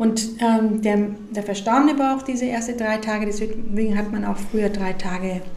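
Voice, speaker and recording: A woman's fairly high voice with fairly even intonation at a moderate pace, amid audible room echo and noticeable background noise. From Mexico. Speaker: funeral director. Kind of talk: interview.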